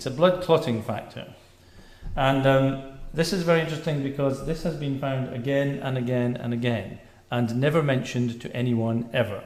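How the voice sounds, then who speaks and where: A man speaks in a Scottish accent. Audible room echo surrounds his voice. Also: medium pitch for a man, ordinary pitch variation, moderate pace. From Scotland. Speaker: doctor. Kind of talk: lecture.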